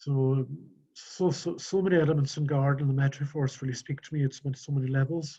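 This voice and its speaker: A soft-spoken man's fairly high-pitched, somewhat breathy voice with a dark, mellow tone, fairly even intonation and a fairly quick pace. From Scotland, Outer Hebrides. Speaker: webinar attendee, volunteer gardener. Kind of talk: casual chat. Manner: halting, many repetitions.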